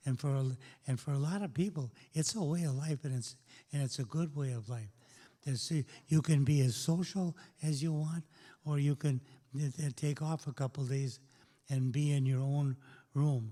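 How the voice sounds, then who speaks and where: Somewhat breathy, with a dark, mellow tone, a man with a fairly high pitch and ordinary pitch variation speaks at a moderate pace with long, frequent pauses in a very clean recording with a silent background. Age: old. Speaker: community talk host. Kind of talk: panel discussion with audience.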